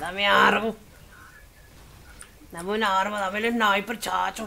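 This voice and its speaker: Putting on a character voice, a woman sounds hoarse and raspy at medium pitch, with monotone, flat intonation and a moderate pace. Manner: gruff, playful.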